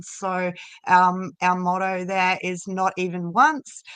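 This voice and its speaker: With an Australian accent, a woman speaks at a fairly slow pace. The background is quiet. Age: 40s. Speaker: addiction prevention volunteer. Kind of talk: casual live-stream chat.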